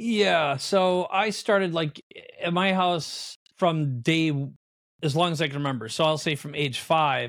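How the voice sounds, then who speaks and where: A man with an American accent speaks in a plain, everyday voice at a moderate pace with ordinary pitch variation. The recording is very clean, with a silent background. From Minnesota, US Midwest. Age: 50s. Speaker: entrepreneur. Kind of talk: casual interview.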